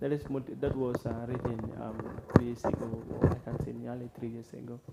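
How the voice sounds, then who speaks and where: Noticeable background noise sits under a man who speaks at a fairly quick pace in a monotone, flat intonation, his loudness swinging a lot. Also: medium pitch for a man. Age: young. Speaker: poet. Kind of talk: interview answer. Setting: studio.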